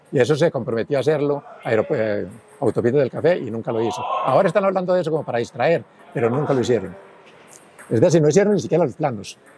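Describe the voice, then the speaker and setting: Noticeable background noise is heard throughout. Over it, a man speaks very fast. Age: 80s+. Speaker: engineer, former city official. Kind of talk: interview.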